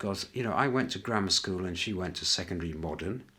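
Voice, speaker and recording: A man talks at a fairly quick pace. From northern England, York. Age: 60s. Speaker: interviewee sharing life memories. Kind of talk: reflective interview. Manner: hesitant, with many fillers.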